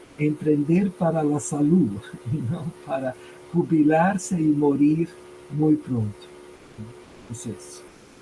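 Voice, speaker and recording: The man's voice sits fairly high with ordinary pitch variation. He speaks very slowly, with long, frequent pauses. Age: 60s. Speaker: language teacher and entrepreneur. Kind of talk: interview conversation.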